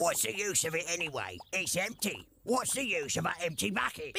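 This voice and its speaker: A man's cartoonish character voice, high in pitch, at a moderate pace. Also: very even loudness. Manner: cheeky, ungrammatical.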